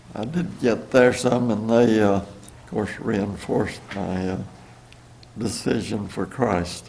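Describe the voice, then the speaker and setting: Against audible room echo, a man with an American accent speaks very slowly, with ordinary pitch variation. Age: 90s. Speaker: churchgoer giving testimony. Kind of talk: testimony. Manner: halting.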